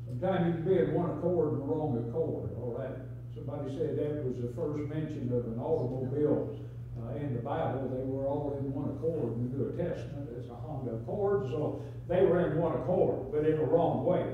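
Speech at a fairly quick pace with ordinary pitch variation comes through strong room echo and light background noise. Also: man. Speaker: Sunday school teacher. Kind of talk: sermon. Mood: folksy, humorous teaching. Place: church. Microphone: camera far.

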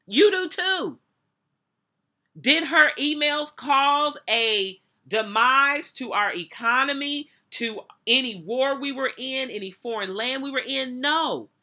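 A woman speaks at a very slow pace in a raised, projected, high-pitched voice with a bright, sharp tone. Her pitch swings very widely against a quiet background. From United States. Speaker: minister and motivational speaker. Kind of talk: sermon-style commentary to camera, reading scripture and preaching. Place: office. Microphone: webcam.

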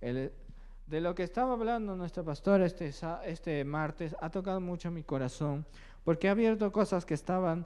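A man talks at a moderate pace with a slightly mellow tone. His pitch sits high. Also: ordinary pitch variation.

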